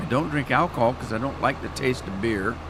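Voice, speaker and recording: The speaker is a man with a medium pitch. Noticeable background noise runs under his voice. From Washington State, Yakima Valley. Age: 70s. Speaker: gaming streamer. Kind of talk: live stream chat. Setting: live stream. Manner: animated, talks with his hands.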